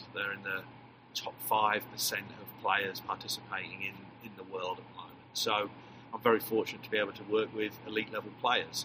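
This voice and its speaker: Noticeable background noise sits under the recording. A man talks with monotone, flat intonation. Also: moderate pace, big swings in loudness. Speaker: soccer head coach. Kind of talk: interview, casual chat.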